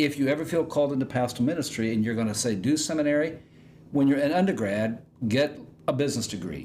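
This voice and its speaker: A man with a fairly high pitch talks at a very fast pace. Room echo is audible. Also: ordinary pitch variation. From Indiana, US Midwest. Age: 60s. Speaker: pastor. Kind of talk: casual chat. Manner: halting.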